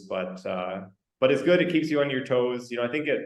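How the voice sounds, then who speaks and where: The speaker has a Canadian accent and talks at a moderate pace. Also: man. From Western Canada. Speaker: company representative in lab automation. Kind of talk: podcast interview. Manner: halting, many repetitions and fillers.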